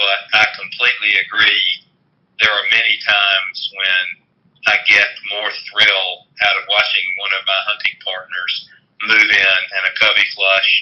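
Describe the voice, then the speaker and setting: The delivery moves at a fairly slow pace with long, frequent pauses. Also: man. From US South. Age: 60s. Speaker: lawyer and bird hunter. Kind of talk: podcast interview.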